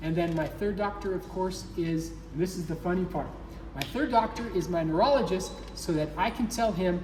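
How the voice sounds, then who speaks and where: The speaker has an American accent and talks at a fairly quick pace. There is noticeable background noise. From Nevada, US. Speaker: patient with multiple sclerosis. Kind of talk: interview. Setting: clinic in Mexico.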